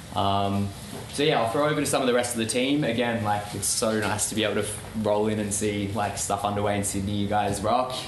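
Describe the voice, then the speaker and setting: Over noticeable background noise and audible room echo, a man with an Australian accent speaks at a fairly quick pace with a fairly low pitch and fairly even intonation. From Melbourne, Australia. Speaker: campaign organiser. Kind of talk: public talk.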